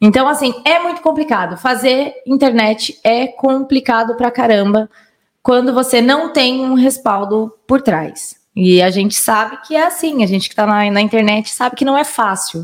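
A woman with a high voice and lively intonation speaks at a moderate pace. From Minas Gerais and São Paulo state, Brazil. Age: 30s. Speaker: digital influencer. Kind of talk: casual chat.

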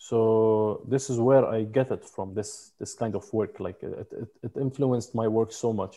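A man with a Lebanese accent speaks at a fairly slow pace with hardly any pauses, his medium-pitched voice dark and mellow in tone. His intonation stays fairly even against a quiet background. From Lebanon; mountain village in Lebanon. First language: Arabic. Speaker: photographer and videographer. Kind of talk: interview conversation.

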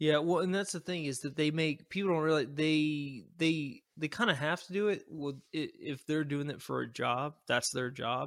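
This man has a normal speaking voice, fairly high in pitch with ordinary pitch variation, and talks at a moderate pace with hardly any pauses. His loudness swings a lot on a very clean recording with a silent background. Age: 30s. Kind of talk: casual chat.

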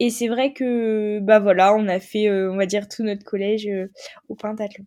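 Delivered at a fairly slow pace, the voice has a dark, mellow tone. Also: woman. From northern France (Picardie, Noyon). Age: 20s. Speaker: sport shooter. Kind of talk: interview. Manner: casual, halting with fillers.

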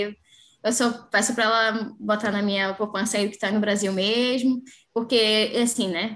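At a moderate pace, a woman with an unremarkable speaking voice talks at a fairly high pitch in a very clean recording with a silent background. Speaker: physical education professional. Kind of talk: casual interview.

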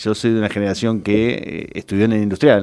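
Speaking with a Rioplatense accent, a man has a fairly low pitch. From Argentina, Greater Buenos Aires (La Matanza). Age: 50s. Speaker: public administration expert. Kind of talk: interview.

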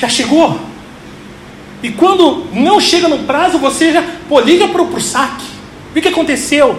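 Speech comes at a fairly slow pace with long, frequent pauses. Background noise is noticeable. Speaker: pastor. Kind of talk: sermon.

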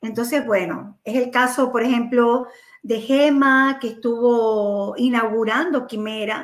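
At a very slow pace, a woman speaks in a high pitch with fairly even intonation. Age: 50s. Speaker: entrepreneur. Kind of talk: casual chat.

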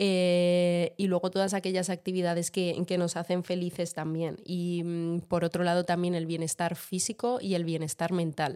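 Her fairly low, dark, mellow voice moves at a fairly slow pace with monotone, flat intonation, very even loudness and hardly any pauses, and the woman is heard in a very clean recording with a silent background. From Madrid, Spain. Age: 20s. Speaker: podcast co-host. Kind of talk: casual chat. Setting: home kitchen.

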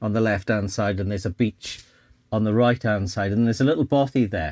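With a South Wales Valleys accent, a man speaks in a fairly low voice. The sound is dry and close with no echo, over a quiet background. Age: 60s. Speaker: photographer and vlogger. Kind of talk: casual chat.

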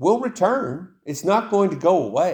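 He has an American accent. This man's pitch swings very widely. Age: 50s. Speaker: pastor. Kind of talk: sermon.

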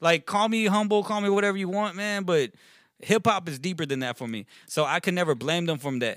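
A high-pitched man with an American accent, lively intonation and a fairly quick pace, on a very clean recording with a silent background. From Texas, Richmond/Rosenberg area. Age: 20s. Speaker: rapper. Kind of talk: casual chat. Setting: studio.

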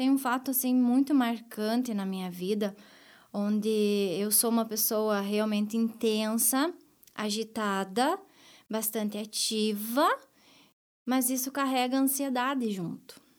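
Her delivery is very slow. The woman's pitch is fairly high. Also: ordinary pitch variation. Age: 30s. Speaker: bank branch manager. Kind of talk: interview testimony. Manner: hesitant, many fillers.

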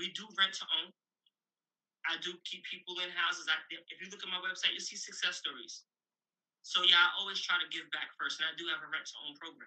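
A man's high-pitched voice in a New York accent, fairly quick in pace, with big swings in loudness. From Brooklyn, New York. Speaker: real estate investor and author. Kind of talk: interview. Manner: animated.

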